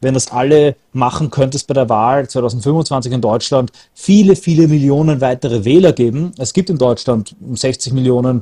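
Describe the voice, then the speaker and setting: A man speaks with a dark, mellow tone and a somewhat breathy quality, recorded with a dry, close sound and no echo. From Austria. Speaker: political activist. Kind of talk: casual chat.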